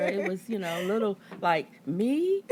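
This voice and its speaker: A woman with an American accent talks at a fairly slow pace, her pitch swinging very widely, against noticeable background noise. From Baltimore, Maryland, US. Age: 60s. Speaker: church elder, single mother. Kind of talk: interview testimony.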